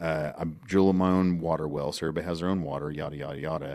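In an American accent, a man talks at a very fast pace on a very clean recording with a silent background. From Oklahoma. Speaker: oil and gas podcast host. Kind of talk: casual chat. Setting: studio.

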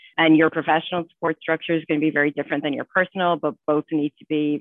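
A woman speaks with an Irish accent in a very deep, low voice. Her intonation is fairly even. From Ireland. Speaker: financial executive. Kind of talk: panel discussion.

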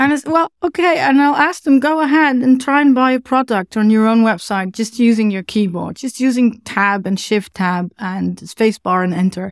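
Someone with a Dutch accent speaks at a moderate pace with lively intonation, the sound dry and close with no echo on a very clean recording with a silent background. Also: woman, fairly high pitch for a woman. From Netherlands. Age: middle-aged. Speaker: web accessibility consultant. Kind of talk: interview. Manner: animated.

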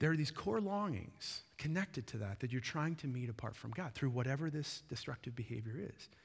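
In a very clean recording with a silent background, a man with a medium pitch and a somewhat breathy voice talks at a fairly quick pace with lively intonation and hardly any pauses. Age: 40s. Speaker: pastor. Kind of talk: sermon. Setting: church.

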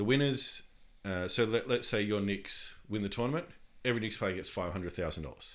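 A man with a fairly low voice speaks at a moderate pace. His intonation is lively. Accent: Australian. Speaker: podcast co-host. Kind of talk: casual chat. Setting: home recording room.

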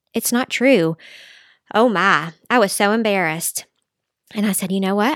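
With a Southern US accent, a woman talks at a moderate pace on a very clean recording with a silent background and a dry, close sound with no echo. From Middle Tennessee. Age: 40s. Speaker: dietitian and mother. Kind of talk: interview.

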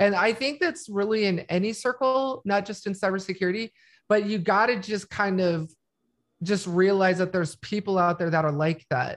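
In a normal speaking voice, a woman talks at a moderate pace and medium pitch, with ordinary pitch variation over a quiet background. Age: 40s. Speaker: cybersecurity expert. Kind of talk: casual chat.

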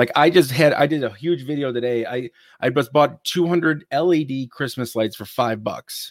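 A man with a normal speaking voice and an American accent talks at a moderate pace in a fairly high voice with ordinary pitch variation. The recording is very clean, with a silent background. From Ohio, US Midwest. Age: 30s. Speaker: retail reseller and YouTuber. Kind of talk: casual interview.

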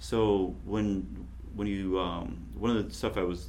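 A man's very deep, low voice with vocal fry. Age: 40s. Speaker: podcast host. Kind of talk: casual chat.

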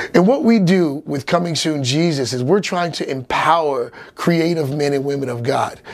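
Noticeable background noise sits under a man's fairly high voice as his pitch varies in an ordinary way. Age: 40s. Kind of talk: casual monologue.

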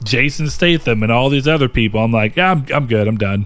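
A man speaks with an American accent in a normal speaking voice, at a fairly quick pace. His pitch varies in an ordinary way. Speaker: podcast co-host. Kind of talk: casual chat.

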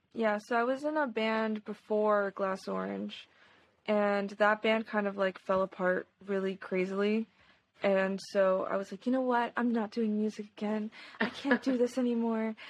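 Here a woman has a normal speaking voice with a fairly high pitch. Her intonation stays fairly even at a moderate pace. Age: 20s. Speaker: singer and rhythm guitarist. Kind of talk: casual chat.

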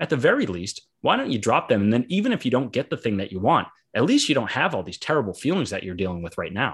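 Very wide pitch swings mark this man's medium-pitched voice. He talks very fast with hardly any pauses. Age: 30s. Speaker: author and software developer. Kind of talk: casual interview. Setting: video call. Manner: halting.

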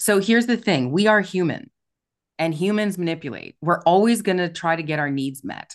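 A woman with an unremarkable speaking voice talks fairly quickly at a fairly low pitch, her intonation lively against a quiet background. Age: 50s. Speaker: relationship and sales coach. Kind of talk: podcast interview.

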